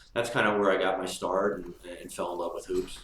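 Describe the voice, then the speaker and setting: In an American accent, a man talks at a fairly quick pace amid audible room echo. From Marin County, California. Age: 50s. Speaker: former basketball player. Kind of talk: interview.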